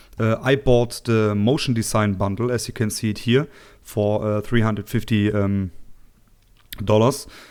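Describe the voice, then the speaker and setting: Moderate pace and fairly even intonation with a German accent, on a very clean recording with a silent background. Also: man, fairly low pitch for a man. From Germany. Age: 20s. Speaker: tech tutorial youtuber. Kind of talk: tutorial. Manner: halting, many fillers.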